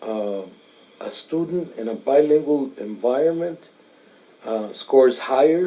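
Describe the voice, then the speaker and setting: A man speaks at a medium pitch and a fairly slow pace, with a Spanish accent. His pitch varies in an ordinary way, while his loudness swings widely. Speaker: interviewee. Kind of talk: interview answers. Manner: hesitant, many fillers.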